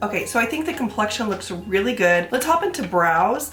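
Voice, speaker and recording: A woman speaks with music in the background. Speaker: beauty YouTuber. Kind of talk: casual talk to camera.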